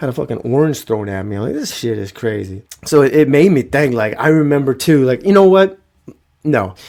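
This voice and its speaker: Lively intonation and an animated tone carry this fairly quick delivery. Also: man. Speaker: podcast host. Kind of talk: comedic storytelling monologue.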